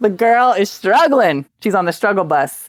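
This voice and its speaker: A raspy, playful put-on character voice, fairly high in pitch, at a moderate pace in a very clean recording with a silent background. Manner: playful, joking.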